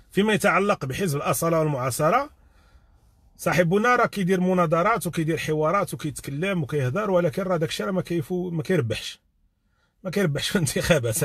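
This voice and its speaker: A man with a high pitch talks at a moderate pace with lively intonation. The sound is dry with no echo, and the background is quiet. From Morocco. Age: 40s. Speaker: YouTube live streamer. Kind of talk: live stream commentary. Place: car. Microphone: phone near.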